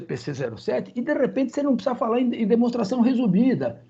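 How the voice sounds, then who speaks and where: Speaking at a fairly quick pace, a man has an extremely high pitch and a dark, mellow tone. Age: 70s. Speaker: accounting professor. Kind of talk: meeting discussion. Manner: animated.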